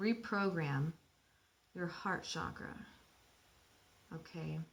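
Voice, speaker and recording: A woman speaks at a very slow pace, her voice somewhat breathy. Her pitch is fairly low. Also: ordinary pitch variation. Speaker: spiritual channeler. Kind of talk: guided meditation. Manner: animated.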